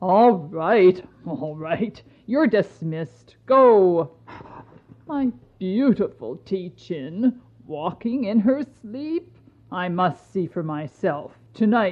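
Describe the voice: A woman uses a put-on character voice, fairly low in pitch, with lively intonation. She talks at a very slow pace.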